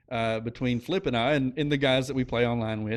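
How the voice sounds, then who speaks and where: A moderate pace and fairly even intonation with an Oklahoma accent. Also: man. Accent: noticeable Oklahoma. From Oklahoma, US. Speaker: podcast co-host and insurance business owner. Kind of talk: casual chat.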